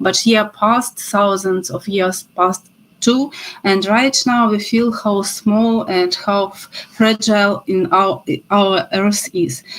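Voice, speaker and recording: In a Ukrainian accent, a woman speaks very slowly at a medium pitch, with ordinary pitch variation. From Ukraine. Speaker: professor. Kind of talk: lecture. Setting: video call. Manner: halting.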